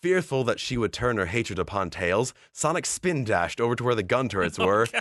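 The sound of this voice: Lively intonation marks this unforced reading voice.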